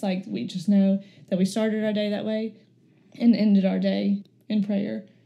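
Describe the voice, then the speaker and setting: A woman with an Alabama accent, medium pitch, a dark, mellow tone, a somewhat breathy quality and flat, monotone intonation. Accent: US South (Alabama). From Florence, Alabama. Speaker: speech therapist. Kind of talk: personal testimony interview.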